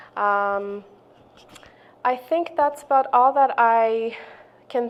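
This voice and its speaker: A woman speaks with a non-native accent at a fairly high pitch. Her pitch varies in an ordinary way. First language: not English. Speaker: community member sharing racism experience. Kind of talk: testimony. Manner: halting, many fillers.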